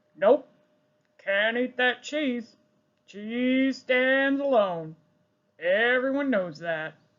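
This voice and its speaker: The put-on character voice, fairly high in pitch, moves at a very slow pace with long, frequent pauses. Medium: read story. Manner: plain, laconic.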